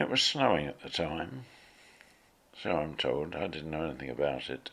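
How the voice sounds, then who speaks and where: With a southern English accent, a man speaks at a very deep, low pitch and with lively intonation. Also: moderate pace. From Tunbridge Wells, Kent, England. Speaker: retired teacher. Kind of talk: life history interview narration.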